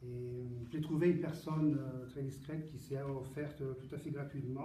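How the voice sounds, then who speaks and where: At a moderate pace, a man with an Italian accent speaks at a fairly high pitch in a flat monotone. Noticeable background noise and audible room echo fill the recording. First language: Italian (speaking French). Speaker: poet. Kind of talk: book presentation Q&A. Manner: halting, many repetitions and hesitations.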